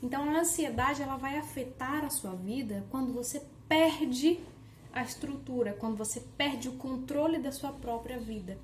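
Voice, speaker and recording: Amid noticeable background noise and audible room echo, the talking proceeds at a moderate pace, its pitch varying in the ordinary way. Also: woman, high pitch for a woman. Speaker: online educator. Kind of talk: workshop lecture. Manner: casual conversational.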